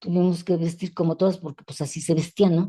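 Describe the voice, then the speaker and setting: A woman speaks with a dark, mellow tone and a fairly low pitch. Her voice is somewhat breathy. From Mexico City. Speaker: feminist educator. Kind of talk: interview conversation. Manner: halting.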